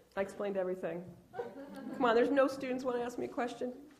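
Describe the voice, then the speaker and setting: Animated and very fast, a woman speaks at a high pitch with ordinary pitch variation, with audible room echo and noticeable background noise. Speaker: journalist. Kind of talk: lecture.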